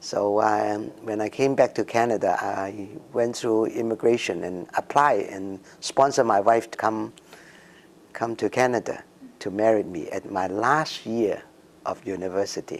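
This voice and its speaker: A man speaks in a Cantonese accent at a fairly slow pace. His pitch is medium and his intonation fairly even. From Hong Kong. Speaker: immigrant community member. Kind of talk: interview. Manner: halting, many fillers.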